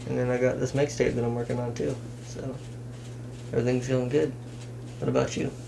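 A man with an American accent speaks at a fairly quick pace with fairly even intonation and long, frequent pauses over noticeable background noise. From Washington state, US (Kitsap area); Washington. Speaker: rapper. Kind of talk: casual chat. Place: home room.

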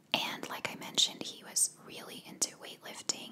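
Whispered speech from a woman, moderate in pace. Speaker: true crime narrator. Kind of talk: casual true crime storytelling. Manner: soft close-mic ASMR murmur. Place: home room. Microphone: studio mic.

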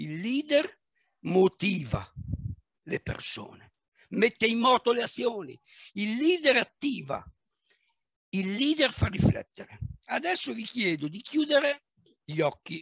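A man, high-pitched and very slow, with very wide pitch swings and long, frequent pauses, dry sound with no echo and a quiet background. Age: 60s. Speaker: manager and business coach; speaker. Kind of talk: talk on leadership; guided visualization. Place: home room. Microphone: headset.

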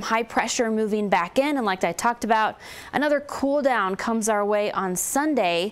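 At a moderate pace, a woman talks in a fairly high pitch with ordinary pitch variation. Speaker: TV weather forecaster. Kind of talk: TV weather report. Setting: TV studio. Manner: conversational; informative. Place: studio.

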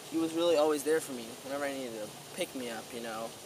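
A man speaks in a dry sound with no echo. Noticeable background noise is present. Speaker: speaker. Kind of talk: mock-solemn eulogy monologue. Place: waterside. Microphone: camera far.

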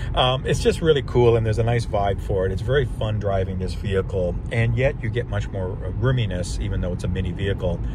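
A man's voice sounds dry, with no echo. Noticeable background noise sits behind him. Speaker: car reviewer driving. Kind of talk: casual review commentary. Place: car.

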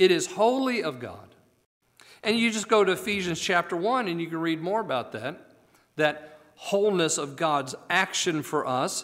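A man with an American accent, high pitch and lively intonation at a moderate pace, against a quiet background. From United States. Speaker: preacher. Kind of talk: sermon. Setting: church. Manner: animated, exclamatory pulpit delivery with rhetorical questions; formal, earnest, teaching cadence. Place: church. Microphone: podium.

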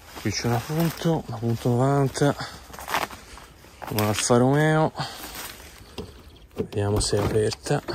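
Against noticeable background noise, a man talks at a fairly slow pace with long, frequent pauses and ordinary pitch variation, the sound dry with no echo. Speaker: urban explorer vlogger; urban explorer narrator. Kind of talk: walkthrough video commentary. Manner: quiet, speaking low. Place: open country. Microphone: phone near.

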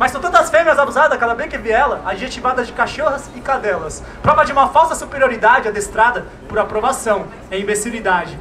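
A man uses a raised, projected voice with an extremely high pitch and ordinary pitch variation. He talks at a very fast pace over light background noise. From Brazil, São Paulo east side. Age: young. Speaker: slam poet. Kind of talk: spoken word performance; spoken-word poetry performance. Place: station. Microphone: handheld.

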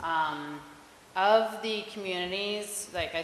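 In an American accent, a woman speaks at a very slow pace with a fairly low pitch and ordinary pitch variation. Audible room echo and light background noise surround her voice. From Philadelphia. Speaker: college intern on environmental committee; presenter. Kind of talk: presentation at public meeting. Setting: town hall meeting with public present. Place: hall.

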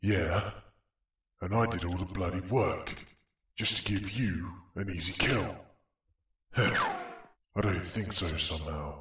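A man's cartoonish character voice, very deep and low, at a fairly slow pace with long, frequent pauses and a slight echo. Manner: boastful, whiny, sarcastic.

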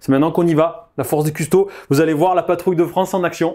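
A dark, mellow tone moves at a very fast pace in a very clean recording with a silent background. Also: man. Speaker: wargame player. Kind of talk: game commentary.

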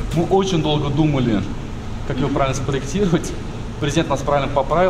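Noticeable background noise fills the clip. Over it, a man can be heard talking. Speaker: tour guide. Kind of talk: interview answer. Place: hall. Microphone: lapel.

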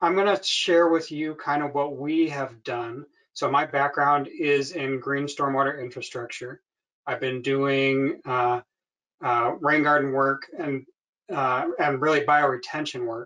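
The background is quiet as a man speaks at a fairly slow pace. His intonation stays fairly even. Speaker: presenter. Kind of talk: webinar presentation. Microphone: webcam.

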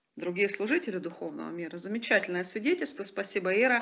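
A woman is talking. The tone comes across as bright and sharp. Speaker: online ministry teacher. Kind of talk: online charismatic class with testimonies. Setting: video call.

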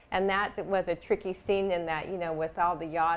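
This woman's voice sits at a fairly low pitch. Her intonation is monotone and flat. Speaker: interviewee. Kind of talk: interview answer. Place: studio. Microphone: lapel.

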